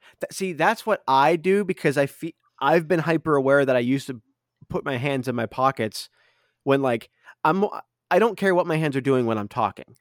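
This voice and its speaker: Recorded very cleanly against a silent background, a man with an unremarkable speaking voice talks at a fairly quick pace with lively intonation, in a dry, close sound with no echo. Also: fairly high pitch for a man. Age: 30s. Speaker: podcast host. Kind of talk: casual chat.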